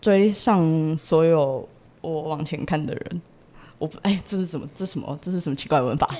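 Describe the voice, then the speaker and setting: An ordinary speaking voice comes at a moderate pace with ordinary pitch variation. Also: woman, fairly low pitch for a woman. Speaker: university student abroad. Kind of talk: casual interview chat.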